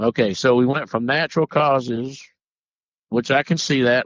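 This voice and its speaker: With a strong Southern US accent, a man speaks at a fairly slow pace and in fairly even intonation, his dry, close sound free of echo on a very clean recording with a silent background. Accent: deep Southern US. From US South. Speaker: paranormal podcast host. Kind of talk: casual podcast chat, partly reading notes. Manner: halting, with repeats and self-corrections.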